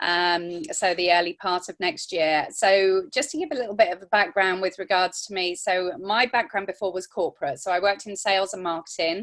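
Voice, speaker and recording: Fairly quick speech with hardly any pauses and ordinary pitch variation, in an English accent. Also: woman, medium pitch for a woman. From England. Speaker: network marketing consultant. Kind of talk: testimony.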